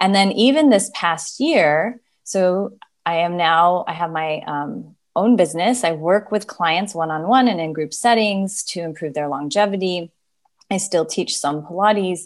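A woman with a normal speaking voice, medium pitch, ordinary pitch variation and a moderate pace. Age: 40s. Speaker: gerontologist and Pilates instructor. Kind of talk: interview.

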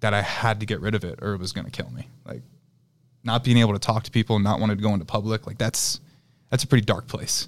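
A man with a fairly low pitch and vocal fry talks at a very fast pace with fairly even intonation. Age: 30s. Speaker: private equity investor. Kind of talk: casual chat.

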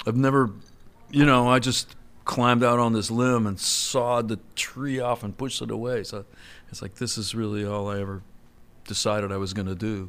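A man speaks in a plain, everyday voice. His pace is moderate and his intonation fairly even. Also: medium pitch for a man. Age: 60s. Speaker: songwriter and record maker. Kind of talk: casual interview chat.

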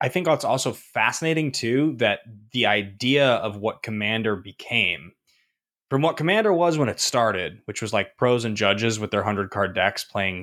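Heard on a very clean recording with a silent background, a man in a normal speaking voice of medium pitch talks at a moderate pace with lively intonation. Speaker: podcast co-host. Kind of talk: casual podcast chat.

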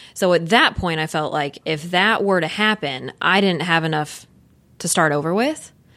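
Against a silent background in a very clean recording, a woman talks in a normal speaking voice. Her pitch is fairly low, with ordinary pitch variation. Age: 30s. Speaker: house flipper. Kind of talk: interview.

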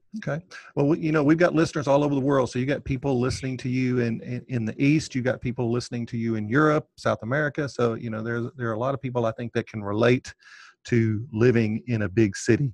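Speaking at a very fast pace and a medium pitch, a man comes through with a dry, close sound with no echo over a quiet background. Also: ordinary pitch variation. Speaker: podcast host. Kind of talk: casual interview.

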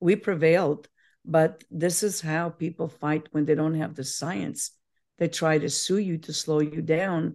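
Speaking fairly slowly, a woman uses a very deep, low voice with a dark, mellow tone and fairly even intonation. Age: 70s. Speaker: probiotic company founder. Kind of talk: interview.

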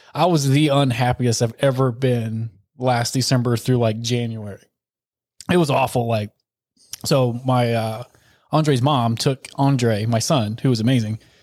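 Speaking at a fairly slow pace with a Southern US accent, a man keeps his intonation fairly even. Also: medium pitch for a man, very even loudness. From US South.

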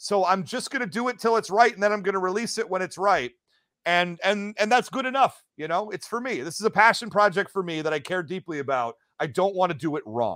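Loud and bright, a sharp-toned man with an American accent speaks high and fairly quickly with lively intonation, on a very clean recording with a silent background. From US Midwest, Detroit metro area. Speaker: podcast host. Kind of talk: casual chat.

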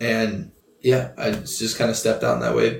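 A man talks with fairly even intonation. There is noticeable background noise. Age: 20s. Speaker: youth pastor. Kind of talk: casual chat.

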